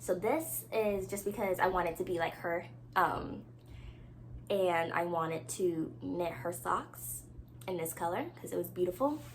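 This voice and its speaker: With audible room echo, a woman talks in an animated tone at a fairly slow pace. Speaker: knitting podcaster. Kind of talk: casual chat.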